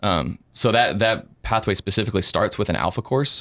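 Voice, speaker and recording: A man with a plain, everyday voice speaks at a fairly quick pace, with ordinary pitch variation. The recording is very clean with a silent background, the sound dry and close with no echo. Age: 30s. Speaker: church worship leader. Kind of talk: casual interview.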